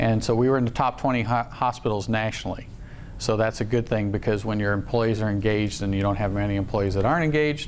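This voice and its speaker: A man's fairly low voice at a very fast pace, fairly even in intonation and very even in loudness, with audible room echo. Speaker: hospital executive and surgeon. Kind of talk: presentation at staff town hall meeting. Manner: halting, many fillers.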